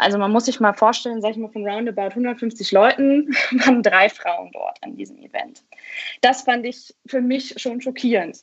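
Her voice is high-pitched for a woman and swings widely in loudness. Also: ordinary pitch variation, moderate pace. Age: 20s. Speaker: blogger and doctoral law student. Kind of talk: interview conversation.

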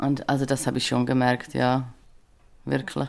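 A woman with a Swiss German accent. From Switzerland. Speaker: social care worker and podcast guest. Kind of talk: casual interview chat. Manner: hesitant, many filler sounds.

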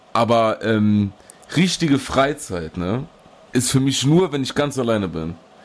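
A man's medium pitch with very wide swings, at a fairly slow pace. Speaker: podcast co-host. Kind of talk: casual chat. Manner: loud; animated.

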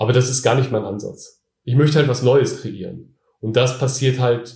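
A man talks at a moderate pace and medium pitch with ordinary pitch variation. His tone is dark and mellow, and somewhat breathy. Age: 30s. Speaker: online t-shirt seller, entrepreneur. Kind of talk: interview. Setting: in person at his home.

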